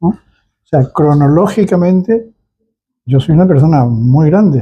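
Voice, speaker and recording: With a dark, mellow tone and lively intonation, a man speaks at a fairly high pitch. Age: 80s+. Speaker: cultural center founder. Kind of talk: interview. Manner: halting.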